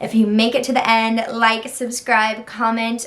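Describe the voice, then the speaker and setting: Over noticeable background noise, a woman with an American accent talks at a moderate pace in a fairly high pitch with an animated tone. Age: 20s. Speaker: content creator. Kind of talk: casual vlog intro.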